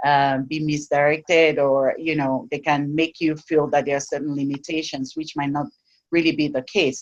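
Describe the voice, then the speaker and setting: A woman with an African accent at a moderate pace, her very deep, low voice in a monotone, flat intonation. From sub-Saharan Africa. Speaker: technology educator and advocate. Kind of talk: interview. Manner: halting, many restarts.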